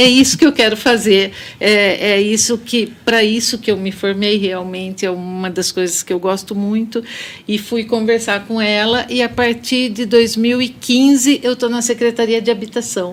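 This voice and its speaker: In a São Paulo interior accent, a woman with a fairly high pitch speaks at a moderate pace with fairly even intonation. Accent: caipira (São Paulo interior). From Brazil, Limeira (São Paulo interior). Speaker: architect. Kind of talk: podcast interview.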